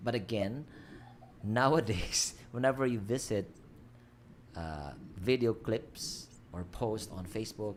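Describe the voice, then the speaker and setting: Speaking very slowly, a man with a Filipino accent keeps a medium pitch and ordinary pitch variation. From Philippines. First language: Filipino language. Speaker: livestream host. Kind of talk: casual chat. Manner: halting.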